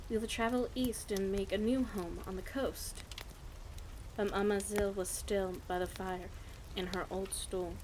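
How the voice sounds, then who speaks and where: Against noticeable background noise, a woman speaks at a fairly slow pace. Her speech has long, frequent pauses. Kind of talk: bedtime story reading. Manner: stutters at times; quiet, relaxed.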